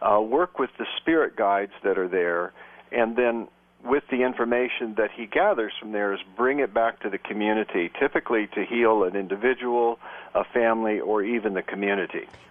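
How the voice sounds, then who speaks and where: The man's voice sits at medium pitch with ordinary variation. He talks at a moderate pace. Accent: Midwestern American. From US Midwest, Sioux City, Iowa. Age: 60s. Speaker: shamanic practitioner and psychotherapist. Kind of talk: radio interview. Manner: hesitant, many fillers.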